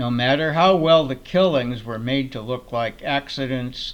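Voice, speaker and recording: Amid noticeable background noise, a man speaks at medium pitch with ordinary pitch variation. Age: 80s+. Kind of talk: commentary monologue.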